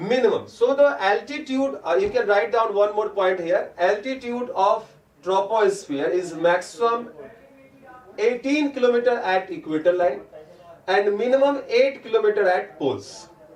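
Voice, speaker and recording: Amid audible room echo and noticeable background noise, a man with a high pitch talks at a moderate pace with lively intonation. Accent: Indian. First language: Hindi. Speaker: teacher. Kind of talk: online lecture. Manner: mixes Hindi and English.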